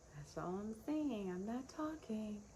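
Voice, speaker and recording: A soft-spoken woman with a fairly high pitch and lively intonation speaks at a very slow pace. There is noticeable background noise. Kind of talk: casual talk to camera. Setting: outdoors.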